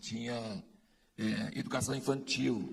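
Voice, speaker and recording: A man is talking. His voice has vocal fry. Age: 60s. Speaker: conference speaker. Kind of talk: speech to an audience.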